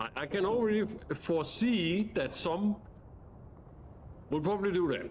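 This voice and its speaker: With a non-native accent, a high-pitched man speaks at a moderate pace with ordinary pitch variation and long, frequent pauses. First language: not English. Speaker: gaming streamer. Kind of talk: casual gameplay commentary. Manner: halting, frequent stutters and restarts; animated.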